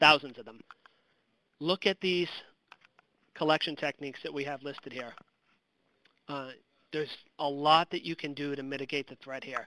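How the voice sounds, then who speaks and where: A man's voice is bright and sharp, set at a fairly high pitch. He talks at a moderate pace in a dry, close sound with no echo. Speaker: counterintelligence special agent presenter. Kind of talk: webinar presentation. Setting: online webinar. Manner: casual, with frequent fillers.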